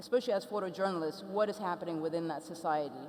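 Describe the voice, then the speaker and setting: A woman with an Ethiopian accent at a very fast pace, with ordinary pitch variation and noticeable background noise. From Ethiopia, raised abroad from age five. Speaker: photographer and artist. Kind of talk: panel talk.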